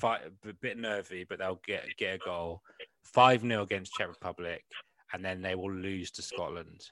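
In a very clean recording with a silent background, a man with a West Country accent speaks at a moderate pace and a fairly low pitch. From England, West Country. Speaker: comedian and podcast host. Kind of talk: casual chat.

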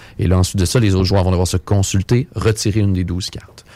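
A man speaks at a very fast pace and fairly low pitch with fairly even intonation. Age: 20s. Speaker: game pub supervisor. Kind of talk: radio interview, casual.

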